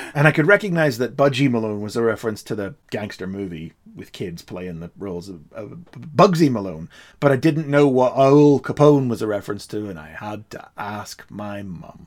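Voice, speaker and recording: The speaker has a Derry accent, a moderate pace, and lively intonation with big swings in loudness. The recording is very clean, with a silent background. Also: man, medium pitch for a man. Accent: Northern Irish (Derry). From Northern Ireland, Derry. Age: 40s. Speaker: podcast co-host. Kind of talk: casual chat. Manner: animated.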